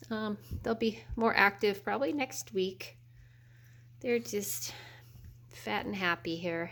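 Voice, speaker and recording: Pausing long and often, a woman speaks at a very slow pace with vocal fry, her medium pitch making very wide swings. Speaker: dog breeder. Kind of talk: casual video update.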